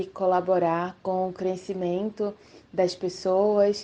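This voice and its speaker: A woman's very slow delivery, medium in pitch, with a dark, mellow tone and monotone, flat intonation. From Brazil, Recife, Pernambuco (Northeast). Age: 30s. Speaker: educator. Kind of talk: radio interview.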